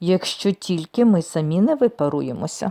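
The speaker is doing a put-on character voice. The pitch sits in the middle range. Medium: read story. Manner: mild, easygoing.

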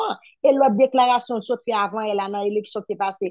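The sound is close and dry, free of echo. A woman talks at a fairly quick pace. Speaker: petition campaigner. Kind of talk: political discussion.

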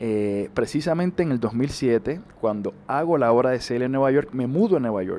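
A man with a Puerto Rican accent speaks at a moderate pace in a dark, mellow tone over light background noise. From Puerto Rico. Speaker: actor. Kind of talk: interview. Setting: on a TV set. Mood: warm, animated, smiling. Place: home room. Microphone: handheld.

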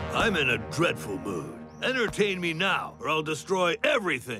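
Over clear music in the background, a man uses a put-on character voice at a moderate pace. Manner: grumpy, threatening.

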